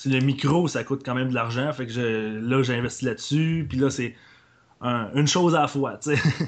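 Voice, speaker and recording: Fairly even intonation from a man with an unremarkable speaking voice, medium-pitched and moderately paced. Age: 20s. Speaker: podcaster. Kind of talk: casual chat.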